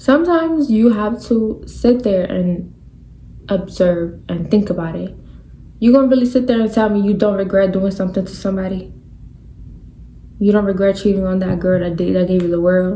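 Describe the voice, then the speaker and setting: A woman speaks at a moderate pace in an animated tone with ordinary pitch variation and long, frequent pauses, in audible room echo. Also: medium pitch for a woman. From New York. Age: 20s. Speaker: podcast host. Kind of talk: casual monologue.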